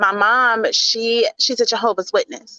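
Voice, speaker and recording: A woman speaks in a Southern US accent at a fairly high pitch. Her tone is bright and sharp, and the sound is dry and close with no echo. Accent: Southern drawl, drops G's. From US South, Mississippi. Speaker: leadership speaker. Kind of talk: interview.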